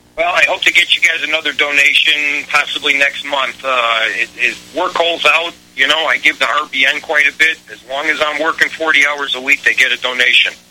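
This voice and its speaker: Noticeable background noise sits under a man's fairly high voice. He talks at a moderate pace with fairly even intonation and hardly any pauses. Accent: American. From Chicago. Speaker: caller. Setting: phone call.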